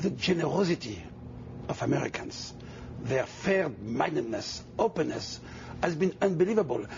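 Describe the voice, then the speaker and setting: Over noticeable background noise, a man speaks with a French accent. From Tunisia and France. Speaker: mayoral candidate. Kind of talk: TV interview.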